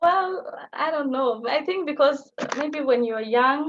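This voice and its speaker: Speaking with a Somali accent, a woman uses a high pitch with ordinary pitch variation. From Kenya, Garissa (northeastern). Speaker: language teaching assistant. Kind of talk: live Q&A on video call.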